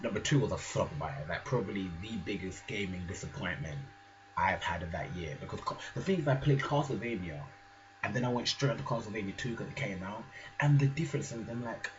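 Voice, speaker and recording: A man speaks fairly quickly at a medium pitch, his voice swinging very widely up and down. Noticeable background noise and audible room echo fill the recording. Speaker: gaming vlogger. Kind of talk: casual chat. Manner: soft-spoken; animated.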